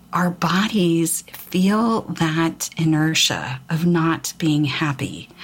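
A woman speaks in a fairly low pitch with noticeable background noise. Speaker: spiritual podcast host. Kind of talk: spiritual talk. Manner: halting.

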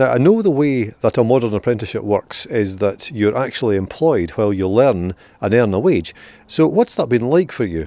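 A man with a Scottish accent, a dark, mellow tone, medium pitch, lively intonation and a fairly quick pace. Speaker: podcast host. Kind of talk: interview. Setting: outdoors.

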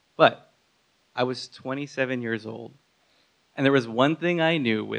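Vocal fry runs through the voice. The pace is fairly slow, with ordinary pitch variation. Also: man. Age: 30s. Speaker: storyteller at a live talk. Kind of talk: prepared personal story told to an audience.

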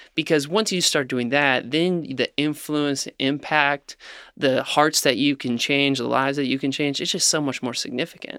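A man with a fairly high pitch and a bright, sharp tone speaks at a moderate pace with fairly even intonation, in a very clean recording with a silent background and a dry, close sound with no echo. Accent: American. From Ohio, near Cincinnati. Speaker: food company founder. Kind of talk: interview.

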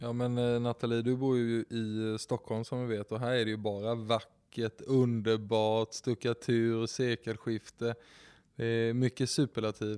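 Here a man talks fairly slowly at a medium pitch, his intonation monotone and flat and his tone dark and mellow. The recording is very clean with a silent background, and the sound is dry and close with no echo. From Kalmar, Sweden. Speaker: real estate agent. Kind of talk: casual chat.

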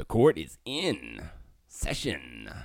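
Put-on character voice from a man, very deep and low in pitch, in a very clean recording with a silent background. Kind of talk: formal announcer voice.

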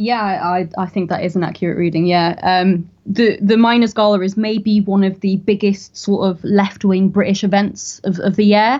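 A woman with a North East England accent, a dark, mellow tone, monotone, flat intonation and hardly any pauses. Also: medium pitch for a woman, moderate pace. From northern England, County Durham. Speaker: podcast host, political commentator. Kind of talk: interview.

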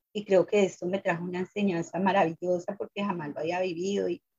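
Speaking at a moderate pace, a woman uses a plain, everyday voice of medium pitch. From Colombia. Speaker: immigrant activist, former domestic worker. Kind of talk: interview testimony.

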